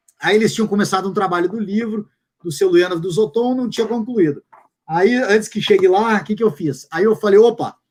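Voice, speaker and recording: The man's voice is high, with ordinary pitch variation. He speaks at a fairly quick pace. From Brazil, Curitiba. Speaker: fitness coach and translator. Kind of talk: casual chat.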